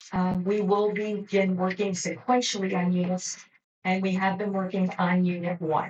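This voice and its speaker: This woman talks at a moderate pace with very even loudness and a monotone, flat intonation. Her voice is medium-pitched and somewhat breathy. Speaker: general manager of homeowners association. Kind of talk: board meeting report. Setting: boardroom meeting.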